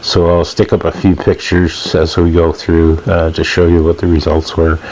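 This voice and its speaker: Noticeable background noise runs under this recording. A man with a very deep, low pitch talks at a moderate pace. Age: 60s. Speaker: DIY boat builder. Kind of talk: video voiceover commentary. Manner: casual with frequent fillers.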